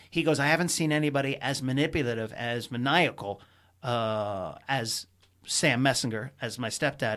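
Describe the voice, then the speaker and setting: Over a silent background in a very clean recording, a man with an American accent talks at a moderate pace and medium pitch, with ordinary pitch variation. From US Mid-Atlantic, Potomac, Maryland. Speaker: stand-up comedian. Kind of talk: casual chat. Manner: animated.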